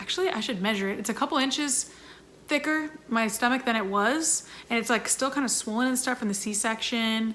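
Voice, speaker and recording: Over noticeable background noise, a woman with a fairly high pitch speaks at a fairly quick pace with ordinary pitch variation. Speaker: YouTuber and singer in a sister band. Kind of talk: Q&A vlog. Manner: fast; animated.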